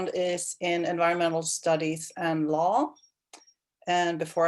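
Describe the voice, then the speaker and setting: With a Swedish accent, a woman talks at a fairly low pitch. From Sweden, Stockholm. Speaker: county water planning manager. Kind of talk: self-introduction. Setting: video call.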